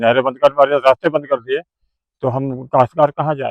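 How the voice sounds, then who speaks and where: A man with a medium pitch. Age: 70s. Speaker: farmer. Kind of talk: news interview testimony.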